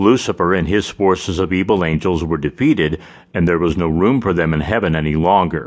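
Delivered at a fairly quick pace, the voice carries a solemn, dramatic tone with ordinary pitch variation. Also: man, very deep, low pitch for a man. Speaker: audiobook narrator. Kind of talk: dramatic audiobook narration, solemn first-person voice of Jesus in an interview format. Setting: studio. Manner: solemn, measured and reverent, with weighty emphasis on the dramatic lines.

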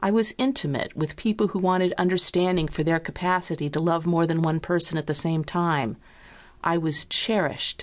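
Against a quiet background, a woman speaks in a plain, everyday voice with a fairly low pitch and ordinary pitch variation. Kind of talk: audiobook reading of a personal essay. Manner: deliberate, expressive, candid, reflective.

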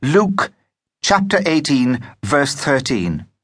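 A man is speaking. His pitch swings very widely. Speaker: audiobook narrator. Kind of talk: audiobook narration. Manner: steady, measured storytelling pace; expressive, vivid period-story reading.

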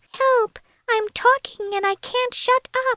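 Putting on a character voice, a woman speaks fairly slowly at an extremely high pitch. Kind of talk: elf-like.

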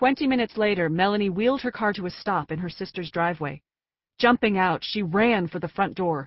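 Plain reading aloud, ordinary variation in pitch, and a quiet background

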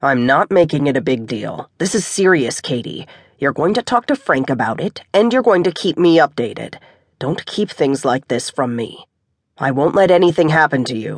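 Putting on a growling character voice, a man speaks at a moderate pace with a fairly high pitch and lively intonation. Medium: read story. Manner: commanding, firm, protective.

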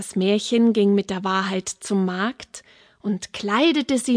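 A woman speaks in a warm tone at a very slow pace, the sound dry and close with no echo. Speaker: fairy tale narrator. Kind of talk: fairy tale telling, audiobook narration. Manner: warm, unhurried storyteller's pacing; gently expressive, voicing characters.

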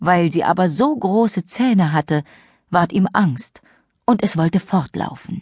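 A woman's fairly low, slightly mellow voice with a slightly husky edge and lively intonation, slow in pace, in a very clean recording with a silent background and a dry, close sound free of echo.

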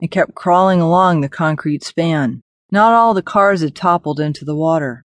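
An ordinary speaking voice, moderately paced, its pitch varying in an ordinary way, with a dry, close sound with no echo. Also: woman, quiet background. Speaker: audiobook narrator. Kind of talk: dramatic audiobook narration of post-apocalyptic fiction, read aloud. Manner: tense, suspenseful, gravely expressive.

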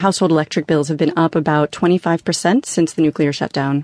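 An ordinary speaking voice, moderately paced with ordinary pitch variation, in a dry, close sound with no echo and a quiet background. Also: woman. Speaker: reporter. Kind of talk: radio news interview, explanatory reporting. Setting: remote phone or studio link from Tokyo. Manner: conversational, explanatory, steady.

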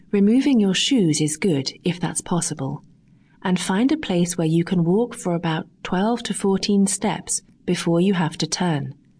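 A woman speaks at medium pitch and a fairly slow pace, her tone calm, soothing, dark and mellow. Her intonation is lively, her loudness very even, and her voice somewhat breathy. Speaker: audiobook narrator. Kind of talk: guided meditation. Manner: slow, calm, soothing; gentle, measured, with pauses.

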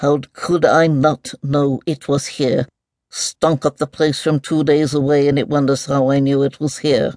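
Over a quiet background, a put-on character voice mumbles at a moderate pace with a low-to-middle pitch and monotone, flat intonation. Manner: mumbling, distracted; irritable, muttering to itself.

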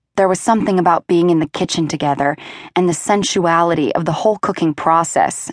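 A woman with a plain, everyday voice speaks at a fairly low pitch with fairly even intonation, the sound dry and close with no echo. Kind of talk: audiobook narration. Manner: smooth, even storytelling pace that shifts into quoted dialogue.

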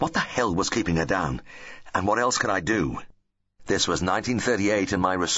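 The clip has plain reading aloud over a quiet background.

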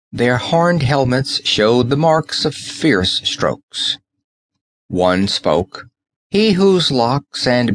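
At a very slow pace, a man speaks in a dramatic tone with lively intonation and a medium pitch, the sound dry and close with no echo. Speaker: audiobook narrator. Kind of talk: dramatic audiobook narration of a fantasy story. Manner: dramatic, measured, vivid storytelling pace.

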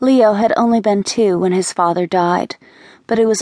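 Unforced reading voice throughout

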